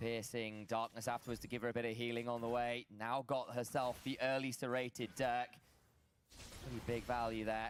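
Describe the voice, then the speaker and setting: The speaker has a British accent and an animated tone. The pace is fairly quick. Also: man. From Britain. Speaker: esports commentator. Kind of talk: live commentary. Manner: animated play-by-play.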